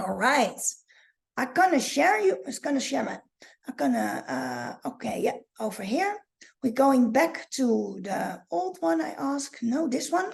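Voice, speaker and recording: A woman with a Dutch accent speaks in a high voice with very wide pitch swings against a quiet background. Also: fairly slow pace. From Netherlands. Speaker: online marketing coach. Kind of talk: live training. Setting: livestream. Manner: halting. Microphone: webcam.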